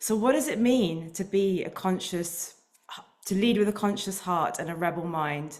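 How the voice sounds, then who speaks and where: A woman at medium pitch and moderate pace, with ordinary pitch variation and audible room echo. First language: Indian language. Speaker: leadership coach and founder. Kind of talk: prepared talk.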